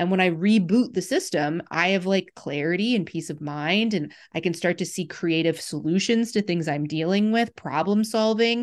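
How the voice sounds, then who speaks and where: With hardly any pauses, a woman with a plain, everyday voice talks at a moderate pace and medium pitch, with ordinary pitch variation, against a quiet background. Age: 40s. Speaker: podcast host, naturopathic practitioner. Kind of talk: interview conversation.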